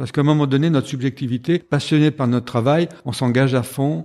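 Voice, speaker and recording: A man's dark, mellow voice at a fairly quick pace, with fairly even intonation, on a very clean recording with a silent background. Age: 70s. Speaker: executive coach and supervisor. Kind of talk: interview.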